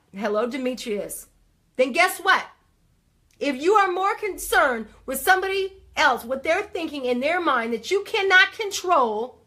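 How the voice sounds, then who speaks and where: A woman projects a raised, animated voice at an extremely high pitch, with a bright, sharp tone. She speaks at a fairly slow pace with very wide pitch swings. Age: 40s. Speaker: life coach and livestream host. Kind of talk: live motivational talk. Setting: livestream.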